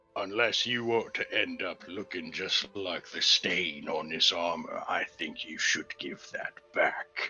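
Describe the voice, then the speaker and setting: Putting on a character voice, a man talks at a fairly slow pace with hardly any pauses. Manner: menacing, threatening.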